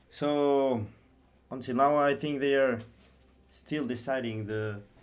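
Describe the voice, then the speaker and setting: The man talks at a very slow pace with fairly even intonation. His medium pitch carries audible room echo. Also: long, frequent pauses. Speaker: esports stream commentator. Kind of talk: live game commentary.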